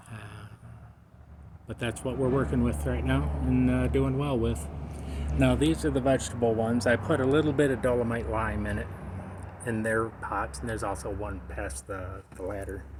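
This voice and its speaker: At a moderate pace with long, frequent pauses, a man with a very deep, low pitch makes very wide pitch swings, amid noticeable background noise and audible room echo. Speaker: cannabis home gardener. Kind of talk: casual video narration. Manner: halting, speech difficulty; many filler pauses.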